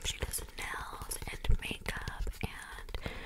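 Whispered words from a woman. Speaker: ASMR creator. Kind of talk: whisper ramble ASMR chat. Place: home room. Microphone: studio mic.

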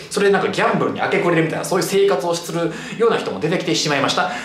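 A man's voice with audible room echo. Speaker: cram school history teacher. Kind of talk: lecture. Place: classroom.

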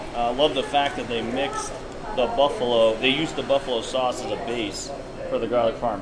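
A man at a fairly quick pace, with ordinary pitch variation and noticeable background noise. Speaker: food reviewer. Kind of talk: casual review chat. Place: bar. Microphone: camera far.

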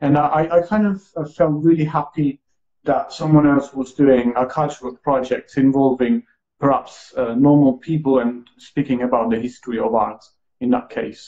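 Against a quiet background, a man talks at a moderate pace. His pitch is fairly high, with ordinary variation, and his tone is dark and mellow. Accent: Italian. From Italy. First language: Italian. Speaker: live stream host. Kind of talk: interview, casual conversation. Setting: live stream. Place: home room. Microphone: earbuds.

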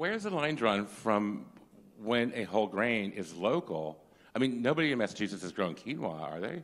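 With an animated tone and very wide pitch swings, a man speaks at a fairly quick pace. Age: old. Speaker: food industry professional, audience member; audience member. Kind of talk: audience question. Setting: conference audience. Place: hall.

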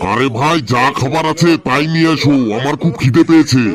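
Over clear background noise, a man does a cartoonish character voice at a moderate pace and a fairly high pitch. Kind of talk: comic cartoon dubbing. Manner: bossy, irritable.

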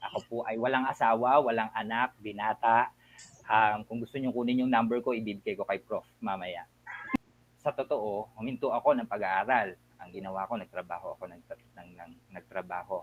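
An ordinary speaking voice from a man, medium in pitch with ordinary pitch variation, at a moderate pace, with big swings in loudness. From Philippines, Bataan. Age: 40s. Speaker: school administrator. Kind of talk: interview.

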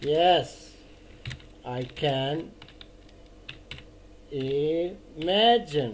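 Against noticeable background noise, a man with a fairly high pitch speaks with lively intonation. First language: Dutch. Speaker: Dutch teacher. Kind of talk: online language lesson, improvised explanation.

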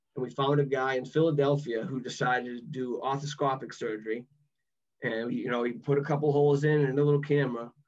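A man with a Boston accent speaks at a very fast pace and a fairly high pitch. His intonation is fairly even over a quiet background. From Massachusetts. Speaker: former college athlete; podcast guest. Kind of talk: podcast interview answer. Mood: reflective, recalling frustration. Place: home room. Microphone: video call.

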